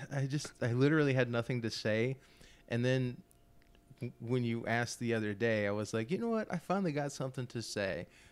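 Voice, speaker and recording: In a normal speaking voice, a man with an American accent talks at a medium pitch. He keeps a fairly quick pace and ordinary pitch variation. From Florida. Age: 30s. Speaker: musician. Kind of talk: casual chat.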